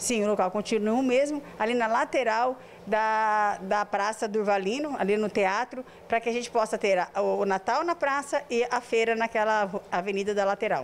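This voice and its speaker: A woman at a moderate pace, with very even loudness and ordinary pitch variation. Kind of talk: interview answer. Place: office. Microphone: handheld.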